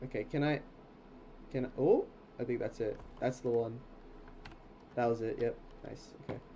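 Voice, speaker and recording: Somewhat breathy and dark, mellow in tone, a man speaks with fairly even intonation and long, frequent pauses. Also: medium pitch for a man, moderate pace. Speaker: video game streamer. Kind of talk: casual gameplay commentary. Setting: livestream at home. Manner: chatty, talkative.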